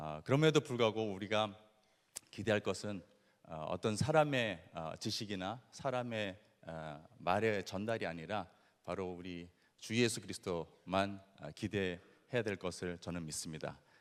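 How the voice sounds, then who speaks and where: Very clean recording, silent background, with a man speaking at a fairly low pitch and a fairly slow pace. His pitch varies in an ordinary way, while his loudness swings widely. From Latin America (born in Brazil). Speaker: missionary. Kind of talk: lecture. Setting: stage with audience. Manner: halting, many fillers.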